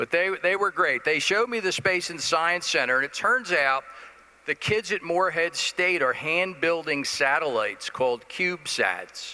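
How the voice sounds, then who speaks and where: A man talks in an American accent. His voice is high-pitched with ordinary pitch variation. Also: moderate pace. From New Jersey, Jersey City. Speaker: business executive. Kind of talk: conference presentation.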